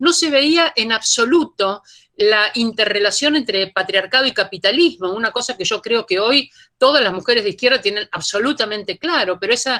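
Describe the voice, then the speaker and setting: Bright and sharp in tone, a woman's fairly high voice moves with lively intonation. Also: moderate pace. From Argentina. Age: 60s. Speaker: feminist academic. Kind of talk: panel talk.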